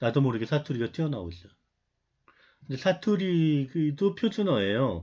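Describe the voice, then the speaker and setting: A man speaks at a medium pitch with very wide pitch swings, against a quiet background. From Seoul area, family from North Gyeongsang. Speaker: university lecturer. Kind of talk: online lecture. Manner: conversational, with many filler sounds.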